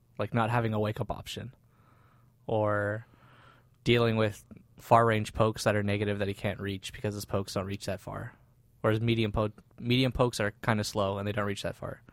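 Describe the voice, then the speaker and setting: A man talks in a fairly low voice with monotone, flat intonation. His pace is fairly quick, yet long, frequent pauses break it up. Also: very clean recording, silent background. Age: 30s. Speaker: fighting game player. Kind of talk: casual chat.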